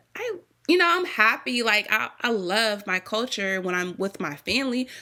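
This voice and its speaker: Animated in tone, a woman talks at a fairly high pitch with very wide pitch swings. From US Virgin Islands (St. Thomas). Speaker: small business owner, baker. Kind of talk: podcast interview. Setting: podcast recording.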